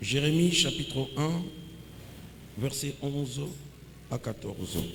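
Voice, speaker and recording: The room echo is audible around a man speaking at a very slow pace. His pitch is fairly high, with ordinary variation. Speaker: pastor. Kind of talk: sermon.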